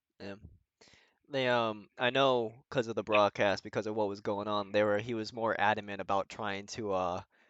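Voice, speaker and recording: Fairly low-pitched man with a slight Boston accent, fairly quick pace and fairly even intonation, in a dry, close sound with no echo over a quiet background. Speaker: sim racing driver. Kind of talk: casual chat.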